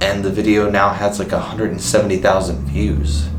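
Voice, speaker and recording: Music plays in the background as a man speaks at a fairly quick pace. His pitch is fairly low, and his intonation is lively. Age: 20s. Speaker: vlogger. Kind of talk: casual talk to camera.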